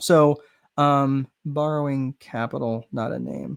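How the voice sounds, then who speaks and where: A man's voice, dry and close with no echo. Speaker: business strategist. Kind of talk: webinar lecture. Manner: fast.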